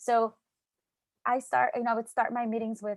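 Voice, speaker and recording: A woman is recorded very cleanly against a silent background. The sound is dry and close, with no echo. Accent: Mexican. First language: Spanish. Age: 30s. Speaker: tech startup founder, speaker. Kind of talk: motivational talk.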